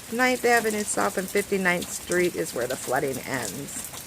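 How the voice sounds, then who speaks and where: A woman speaks at a medium pitch with very wide pitch swings. Noticeable background noise runs underneath. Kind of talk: casual narration of home video. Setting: outdoors.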